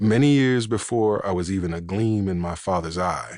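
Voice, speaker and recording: A man's fairly low voice at a fairly slow pace, with ordinary pitch variation against a quiet background. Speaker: audiobook narrator. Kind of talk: crime novel audiobook narration.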